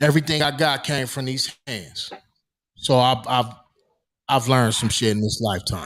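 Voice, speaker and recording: On a very clean recording with a silent background, a man speaks at a moderate pace with ordinary pitch variation and long, frequent pauses. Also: medium pitch for a man. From US West Coast, Los Angeles. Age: 40s. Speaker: podcast co-host. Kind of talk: casual podcast discussion. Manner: emphatic.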